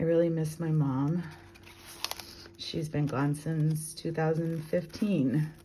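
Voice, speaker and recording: Amid noticeable background noise and audible room echo, a woman with a very deep, low pitch speaks very slowly in a monotone, flat delivery, with long, frequent pauses. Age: 60s. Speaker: craft journaler. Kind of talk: show-and-tell walkthrough. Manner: casual, relaxed.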